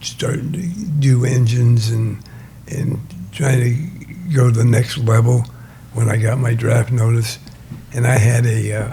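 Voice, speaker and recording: A man talks at a fairly slow pace with a medium pitch and ordinary pitch variation. Noticeable background noise runs under his voice. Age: 80s+. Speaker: race engine builder. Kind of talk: interview answer.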